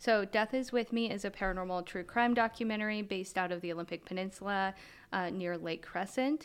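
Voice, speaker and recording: A woman with an American accent and an unremarkable speaking voice talks at a medium pitch and a fairly quick pace, with ordinary pitch variation. The recording is very clean, with a silent background. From US, Montana. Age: 30s. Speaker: paranormal investigator. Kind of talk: interview conversation.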